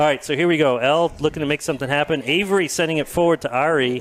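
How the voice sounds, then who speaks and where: Over noticeable background noise, a man with a New England accent talks at a very fast pace with ordinary pitch variation. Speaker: sports commentator. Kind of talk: live commentary. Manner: animated.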